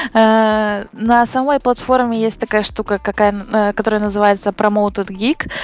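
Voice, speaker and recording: In a dry, close recording with no echo, a woman talks at a fairly slow pace in a monotone, flat intonation, her loudness very even and her speech hardly pausing. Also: fairly high pitch for a woman. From western Ukraine, near Uzhhorod. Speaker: commercial photo retoucher. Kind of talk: casual interview.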